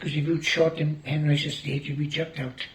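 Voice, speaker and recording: In a south Wales accent, a man with a fairly high pitch talks at a fairly quick pace in a monotone, flat intonation. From Wales, Gower. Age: 80s+. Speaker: farmer. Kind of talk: oral history interview.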